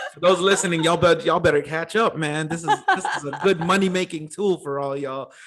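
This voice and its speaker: A man's high voice at a very fast pace, with fairly even intonation and big swings in loudness over noticeable background noise. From Los Angeles, US. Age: 30s. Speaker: podcast host. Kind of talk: casual interview. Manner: casual, laid-back.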